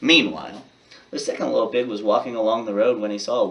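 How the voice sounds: The sound of a natural reading voice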